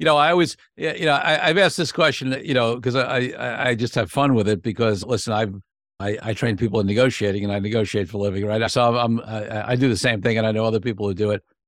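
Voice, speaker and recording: Someone talks very fast in a New York accent. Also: man. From Brooklyn, New York. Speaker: podcast host, attorney and negotiator. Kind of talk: interview conversation.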